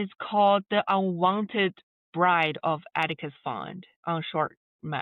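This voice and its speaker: At a very slow pace, a woman with a medium pitch speaks with fairly even intonation. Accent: non-native. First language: not English. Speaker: filmmaker and voice-over artist. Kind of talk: podcast interview.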